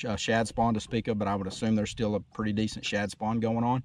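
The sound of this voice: A man talks at a fast pace. His voice is fairly low, with little pitch movement.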